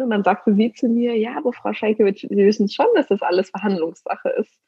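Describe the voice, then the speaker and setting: Delivery comes at a fairly quick pace. The voice sounds somewhat breathy, and its pitch varies in an ordinary way. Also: woman. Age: 30s. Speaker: negotiation coach. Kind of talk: interview. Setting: remote call.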